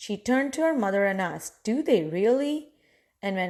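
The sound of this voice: The delivery is an unforced reading voice with lively intonation. It sits over a quiet background.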